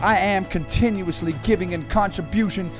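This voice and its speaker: Music sits in the background. Over it, a man speaks at a moderate pace. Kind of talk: spoken word poetry.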